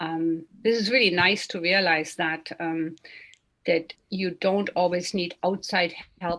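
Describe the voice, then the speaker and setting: At a fairly slow pace, a woman with an unremarkable speaking voice talks at a medium pitch. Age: 60s. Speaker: meditation session moderator. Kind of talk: online meditation session discussion.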